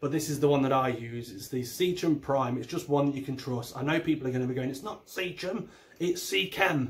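With an East Midlands accent, a man speaks at a fairly quick pace, his fairly high pitch varying in an ordinary way. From England, Derby. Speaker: aquarium YouTuber. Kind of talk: video tutorial. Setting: home recording on camera. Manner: animated. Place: home room. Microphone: phone near.

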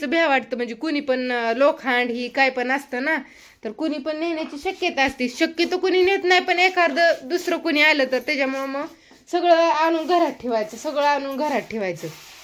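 High pitch and ordinary pitch variation from a woman. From Maharashtra, Karmala area. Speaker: rural homemaker vlogger. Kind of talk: casual vlog chat.

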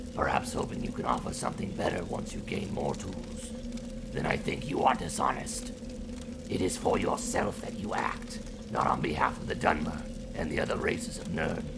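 Someone uses a put-on character voice at a moderate pace over loud background noise. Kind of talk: philosophical dialogue. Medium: audio drama.

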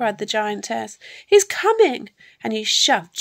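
The voice is natural. It reads a passage aloud.

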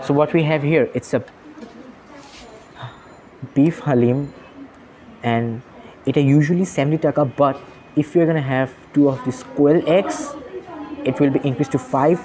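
Light background noise sits behind a man speaking at a moderate pace. His intonation is fairly even, with long, frequent pauses. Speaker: food vlogger. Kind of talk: casual vlog chat. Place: cafe. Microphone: phone near.

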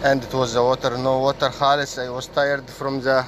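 A man with an Egyptian accent, fairly high-pitched, at a fairly quick pace over light background noise. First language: Arabic. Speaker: vlogger and animal keeper; vlogger. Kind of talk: casual vlog narration. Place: farm. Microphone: phone near.

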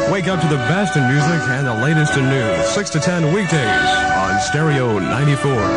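A man at a moderate pace over loud background music. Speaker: radio DJ. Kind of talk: 1970s FM radio DJ aircheck, with jingles and promos. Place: studio. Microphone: old recording.

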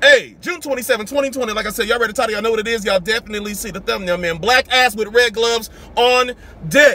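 A man's raised, projected voice with ordinary pitch variation, in a dry sound with no echo. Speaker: sneaker youtuber. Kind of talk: casual vlog chat. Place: car. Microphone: phone near.

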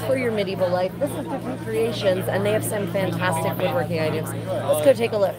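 Over music in the background, a woman talks at a fairly quick pace in a dry sound with no echo. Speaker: fair vlogger host. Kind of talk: casual vlog chat. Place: market. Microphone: phone near.

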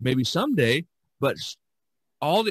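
A man speaks with a fairly high pitch, very wide pitch swings and vocal fry. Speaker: podcast host and artist. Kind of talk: casual chat.

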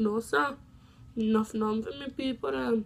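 A woman with a Jamaican accent, fairly high in pitch and somewhat breathy. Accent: Jamaican Patois. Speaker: vlogger. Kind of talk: casual talk to camera. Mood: animated, opinionated. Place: home room. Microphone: phone near.

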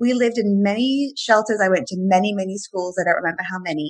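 A woman talks at medium pitch with lively intonation and a fairly quick pace. Her voice is somewhat breathy, over a quiet background. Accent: English. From England. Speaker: life coach and author; life coach. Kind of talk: casual chat. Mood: warm, upbeat. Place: home room. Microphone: webcam.

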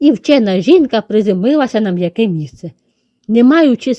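The voice is a natural reading voice with lively intonation. Behind it, the background is quiet.

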